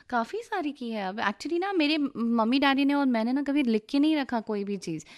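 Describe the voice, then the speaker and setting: Over a quiet background, a woman speaks with a high pitch. Her pitch swings very widely. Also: moderate pace. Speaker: voice-over and dubbing artist. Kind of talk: radio interview.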